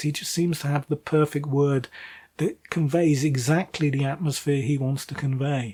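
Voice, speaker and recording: The speaker has a British accent and a somewhat breathy voice. The pace is moderate. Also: man. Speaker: book reviewer. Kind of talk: casual monologue review. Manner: hesitant, many fillers.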